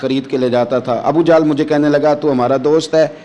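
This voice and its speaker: Over noticeable background noise, a man speaks with fairly high pitch and fairly even intonation. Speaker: Islamic preacher. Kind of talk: Islamic sermon storytelling. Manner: emotional, passionate.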